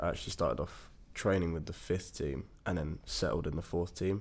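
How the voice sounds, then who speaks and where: Very deep and low, a man's voice races along at a very fast pace with vocal fry, captured in a very clean recording with a silent background. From English East Midlands, Lincolnshire/Nottinghamshire. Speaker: university student and football captain. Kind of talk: casual chat.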